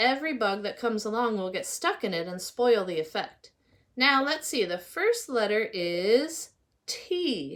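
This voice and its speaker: A woman uses a put-on character voice pitched fairly high. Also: moderate pace. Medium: read story. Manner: brisk, self-encouraging.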